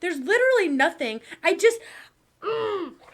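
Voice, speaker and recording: Her tone animated and her pitch swinging very widely, a woman speaks with an American accent. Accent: Southern accent when angry, otherwise little. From Texas. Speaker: commentary youtuber. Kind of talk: casual commentary. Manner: animated, ranting.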